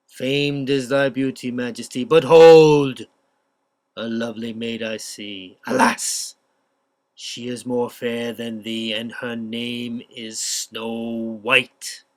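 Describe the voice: Putting on a character voice, a man talks at a very slow pace and medium pitch.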